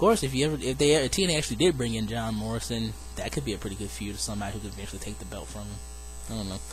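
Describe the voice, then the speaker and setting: A man talks at a very fast pace, with audible room echo. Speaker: wrestling fantasy booking vlogger. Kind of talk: casual solo video monologue. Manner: casual, hesitant fillers.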